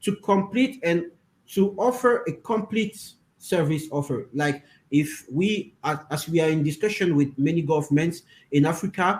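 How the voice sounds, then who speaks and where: This man has a high pitch for a man and a French accent. He keeps a moderate pace with ordinary pitch variation. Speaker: interpreter for a crypto project team. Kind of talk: interview. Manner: halting, many fillers.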